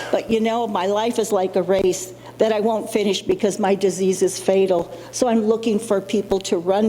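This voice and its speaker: Her loudness is very even, with a medium pitch and fairly even intonation as the woman speaks at a moderate pace. Noticeable background noise runs underneath. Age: 60s. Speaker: person living with Alzheimer's, summit speaker. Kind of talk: personal testimony. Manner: halting, with fillers.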